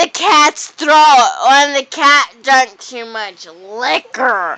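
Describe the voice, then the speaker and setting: The voice is raised and projected, moving at a very slow pace. Noticeable background noise is present. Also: woman. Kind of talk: casual drunk chat to camera. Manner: slurred, rambling.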